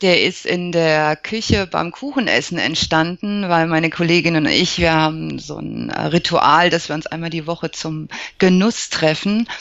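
A woman speaks with fairly even intonation and hardly any pauses. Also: fairly low pitch for a woman, moderate pace. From Germany, Lower Franconia (Aschaffenburg). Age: 40s. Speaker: psychologist and alternative practitioner. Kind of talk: interview. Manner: hesitant, frequent fillers.

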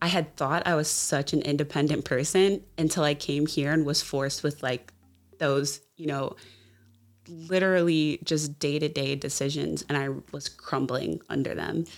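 With music in the background, a woman with an American accent speaks at a moderate pace in a very deep, low pitch with fairly even intonation. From US South, Jacksonville, Florida. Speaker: project manager. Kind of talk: interview.

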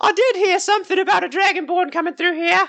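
In a put-on character voice, the speaker races along at a very fast pace, squeaky and at an extremely high pitch.

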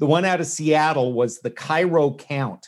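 A man with a normal speaking voice, fairly high in pitch, at a moderate pace with ordinary pitch variation, against a quiet background. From Canada. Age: 50s. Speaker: novelist and former stand-up comic. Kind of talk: casual interview chat.

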